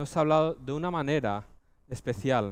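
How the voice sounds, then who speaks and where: A man's fairly high voice at a moderate pace, in a very clean recording with a silent background. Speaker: preacher. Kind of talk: sermon. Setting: church.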